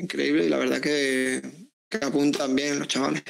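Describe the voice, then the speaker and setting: The man's voice sits fairly high in pitch and has ordinary pitch variation. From Seville, Andalusia. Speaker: footballer; guest. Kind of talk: interview. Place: home room. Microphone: earbuds.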